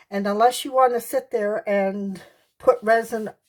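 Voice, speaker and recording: A woman speaks at a very slow pace with a fairly high pitch and fairly even intonation, on a very clean recording with a silent background. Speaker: art tutorial youtuber. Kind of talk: tutorial. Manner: casual, with filler words.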